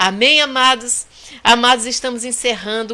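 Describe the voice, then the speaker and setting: A woman speaks in an animated, bright, sharp tone. The recording is very clean, with a silent background. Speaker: pastor. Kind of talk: sermon. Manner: soft-spoken usually; animated, fervent.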